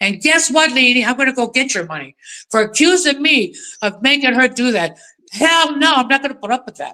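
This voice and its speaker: A woman with a high pitch speaks at a fairly quick pace in a raised, projected voice. Her tone is bright, sharp and animated, with lively intonation. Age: 70s. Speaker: animal activist, livestream participant. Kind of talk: heated rant. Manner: animated, loud.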